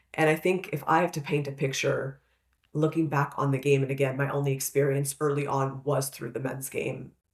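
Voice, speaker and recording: Somewhat breathy and very deep, low in pitch, a woman with a Canadian accent talks at a fairly quick pace in a monotone, flat intonation. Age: 30s. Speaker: podcast co-host. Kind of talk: casual chat.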